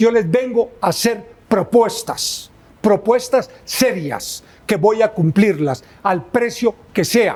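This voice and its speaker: A man's high-pitched voice at a very slow pace, with very even loudness throughout. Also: ordinary pitch variation. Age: 70s. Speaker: presidential candidate. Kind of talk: interview. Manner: emphatic.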